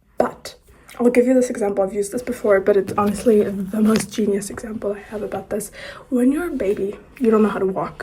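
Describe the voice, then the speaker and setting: The speech runs at a very fast pace with ordinary pitch variation. Background noise is noticeable. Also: woman, medium pitch for a woman. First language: not English; English is her third language. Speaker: poet and writer, video course host. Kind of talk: casual tutorial talk to camera.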